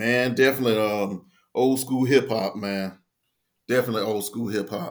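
A man talks in a plain, everyday voice at a moderate pace. His intonation stays fairly even. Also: medium pitch for a man. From US South, Tidewater Virginia. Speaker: army veteran and small business owner. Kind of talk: casual interview.

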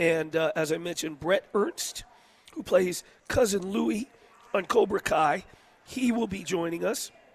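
A man's high-pitched voice with lively intonation, a fairly slow pace and long, frequent pauses, amid noticeable background noise. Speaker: sports talk show host. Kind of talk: live show intro.

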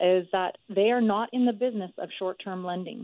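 A woman speaks in an ordinary speaking voice at medium pitch. Her intonation is lively and her pace moderate. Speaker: mortgage broker. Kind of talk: expert advice on radio.

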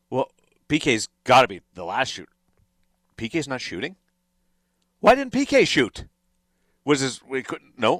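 In a very clean recording with a silent background and a dry, close sound with no echo, a man at medium pitch speaks at a moderate pace with vocal fry, very wide pitch swings, big swings in loudness and long, frequent pauses. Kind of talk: studio sports talk show analysis, not live play-by-play. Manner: conversational, fluent but filled with hesitations and restarts.

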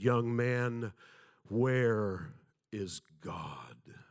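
In a put-on character voice, a man sounds resonant at a medium pitch with fairly even intonation. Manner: intimidating.

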